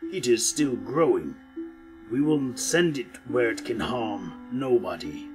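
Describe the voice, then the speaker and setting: A man puts on a character voice at a high pitch, talking at a fairly slow pace over clear background music. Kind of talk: mythic storytelling. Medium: read story. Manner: solemn, measured.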